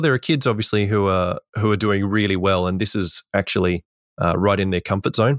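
A man talks at a fairly low pitch with an Australian accent. The recording is very clean and dry, close up with no echo and a silent background. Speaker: teacher. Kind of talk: casual chat.

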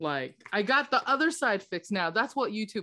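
A woman on a very clean recording with a silent background. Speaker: podcast co-host. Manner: casual, animated.

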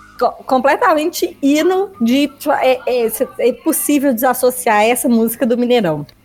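Over music in the background, a woman talks at a moderate pace in a high pitch, her intonation lively and her loudness very even. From Minas Gerais, Belo Horizonte. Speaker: podcast co-host. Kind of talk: casual chat.

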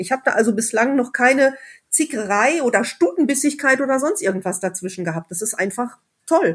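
Fairly quick, high-pitched speech from a woman. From Sauerland, Germany. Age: 20s. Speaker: motorcyclist and regional group organizer. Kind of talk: casual chat.

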